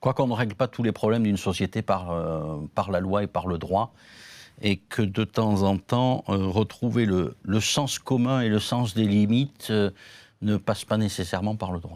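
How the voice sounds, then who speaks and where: A man's fairly low voice in a southern French accent, fairly slow in pace with ordinary pitch variation, in a dry, close sound with no echo. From southern France. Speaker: law professor. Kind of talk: panel discussion. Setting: conference, partly remote audience.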